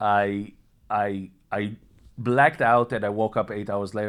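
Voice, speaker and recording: A man speaks with an Israeli accent and a fairly low pitch. The recording is very clean, with a silent background. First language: Hebrew. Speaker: vlogger sharing personal health story. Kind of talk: personal testimony monologue. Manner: halting, many repetitions and fillers.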